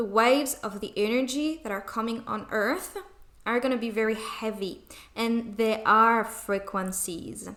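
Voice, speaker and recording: With a non-native accent, a woman speaks in a fairly high, bright, sharp tone and fairly even intonation. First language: non-native English speaker. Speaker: spiritual channeler. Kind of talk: channeled spiritual message. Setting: home recording, poor sound.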